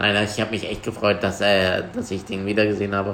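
A man is speaking. His pitch sits fairly low for a man. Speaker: podcast host. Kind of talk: casual chat.

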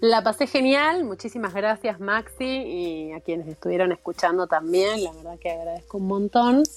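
A woman's medium-pitched voice at a moderate pace, with lively intonation, big swings in loudness, and hardly any pauses. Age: 40s. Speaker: board game hobbyist. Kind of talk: casual interview.

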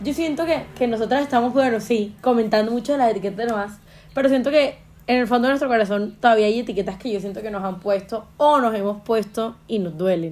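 A woman talks fairly quickly in an ordinary speaking voice, her fairly high pitch moving with ordinary variation. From Colombia, Caribbean coast (Montería). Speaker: podcast host. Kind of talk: casual chat.

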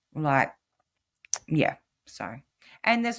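A woman speaks with an Australian accent at a fairly slow pace. The recording is very clean, with a silent background. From New South Wales, Australia. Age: 30s. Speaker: podcast guest, single mother with ADHD. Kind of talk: casual interview chat.

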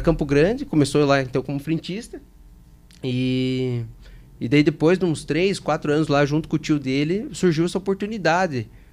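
Speaking at a moderate pace, a man with a plain, everyday voice uses a fairly high pitch and ordinary pitch variation. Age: 20s. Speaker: fuel station chain operations director. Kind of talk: casual interview.

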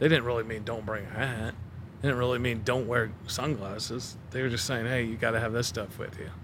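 Audible room echo surrounds a man speaking fairly quickly at a medium pitch with fairly even intonation. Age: 40s. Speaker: sales manager. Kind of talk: casual chat.

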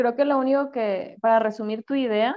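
Moderate pace, in a Sinaloan accent. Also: woman. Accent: northern Mexican (Sinaloa) Spanish. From Mexico, Culiacán, Sinaloa. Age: 30s. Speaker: psychologist. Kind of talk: casual interview chat.

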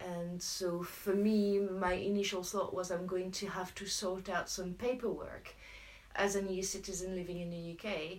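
In a French accent, a woman speaks at a medium pitch and a moderate pace, her intonation monotone and flat, with audible room echo around her. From France. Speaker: local campaign group organiser. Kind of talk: casual chat.

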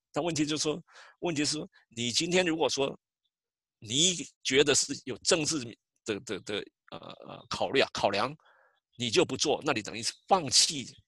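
In a very clean recording with a silent background, a man with a fairly high pitch and a bright, sharp tone speaks with lively intonation and long, frequent pauses. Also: moderate pace. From Taiwan. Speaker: census outreach coordinator. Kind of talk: interview. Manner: halting.

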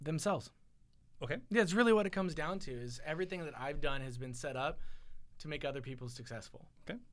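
Very fast, lively speech from a man with an American accent, with long, frequent pauses, big swings in loudness and audible room echo. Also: fairly high pitch for a man. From California, Silicon Valley. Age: 40s. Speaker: guest. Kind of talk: casual chat. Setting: studio.

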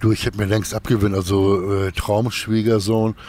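A man's normal speaking voice, pitched fairly low, moving at a moderate pace. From northern Germany, Kiel. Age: 50s. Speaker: actor and musician. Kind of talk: interview. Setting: outdoors in a park.

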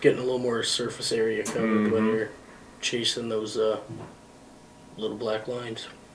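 Delivery is fairly quick and monotone, broken by long, frequent pauses. Noticeable background noise and audible room echo are present. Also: man, medium pitch for a man. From northern Manitoba, Canada. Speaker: truck driver. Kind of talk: casual chat.

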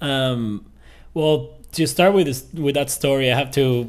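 A man's medium-pitched voice in a Venezuelan accent, at a moderate pace with ordinary pitch variation. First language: Spanish. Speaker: podcast guest. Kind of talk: casual interview.

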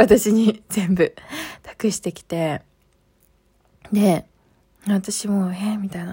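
A woman speaks in a monotone, flat intonation at a medium pitch, with a dark, mellow tone that is somewhat breathy. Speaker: podcast host. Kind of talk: casual chat. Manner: low-energy.

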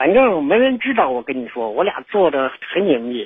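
Moderate pace and fairly high pitch in a man's speech. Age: 40s. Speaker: caller. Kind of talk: phone-in confession. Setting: phone call. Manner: halting, hesitant.

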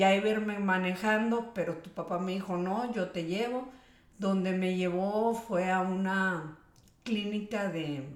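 With a northern Mexican accent, the speaker goes at a moderate pace with ordinary pitch variation over noticeable background noise. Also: woman. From Mexico, Monterrey. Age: 50s. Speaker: homemaker, interviewee. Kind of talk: casual interview.

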